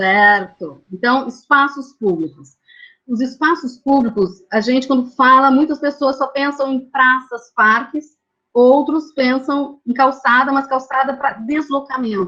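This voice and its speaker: Raised and projected, a woman's voice with a bright, sharp tone sits high in pitch, with ordinary pitch variation and a fairly slow pace. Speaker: architect and university lecturer. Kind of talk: lecture. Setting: video call.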